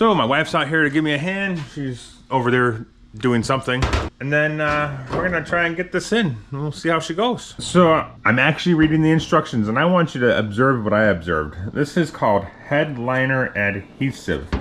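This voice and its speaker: Some faint noise sits behind the speaker. He is a man delivering his words at a medium rate. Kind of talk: casual vlog chat. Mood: wry, mildly annoyed at instructions. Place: garage. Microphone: phone near.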